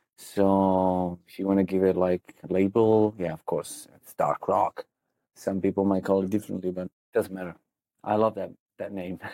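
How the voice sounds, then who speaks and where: Speaking in an Italian accent at a moderate pace, a man has a very deep, low pitch, a dark, mellow tone and monotone, flat intonation, with a dry, close sound and no echo. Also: big swings in loudness. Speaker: goth rock singer and songwriter. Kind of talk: interview.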